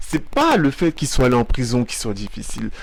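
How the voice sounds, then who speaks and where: Medium pitch and ordinary pitch variation in a man's voice, delivered at a moderate speed. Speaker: video commentator. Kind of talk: reaction commentary. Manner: animated.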